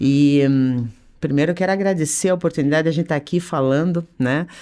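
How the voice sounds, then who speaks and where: Dark, mellow tone at a fairly quick pace with ordinary pitch variation, on a very clean recording with a silent background. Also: woman. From Curitiba, Paraná, southern Brazil. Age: 50s. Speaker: business association president, entrepreneur. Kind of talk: podcast interview.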